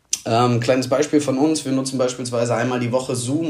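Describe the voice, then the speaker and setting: Audible room echo and noticeable background noise surround a man speaking at medium pitch with fairly even intonation. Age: 20s. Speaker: amateur footballer, marketing manager. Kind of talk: voice message.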